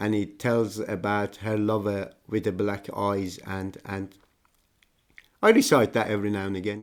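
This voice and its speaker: With an Iranian accent, a man talks at a fairly slow pace in a fairly low pitch on a very clean recording with a silent background. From Iran (Tehran). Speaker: migrant telling life story. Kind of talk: personal testimony. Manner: halting, with repetitions.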